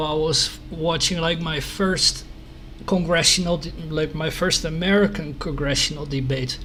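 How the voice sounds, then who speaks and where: In a Dutch accent, a man speaks with monotone, flat intonation amid noticeable background noise and audible room echo. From Netherlands. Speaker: news site host. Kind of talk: interview. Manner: halting.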